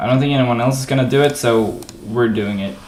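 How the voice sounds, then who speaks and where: A man with a non-native accent, with audible room echo and noticeable background noise. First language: not English. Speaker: gaming livestreamer coding a game level. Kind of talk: casual commentary while coding. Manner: casual, hesitant with fillers.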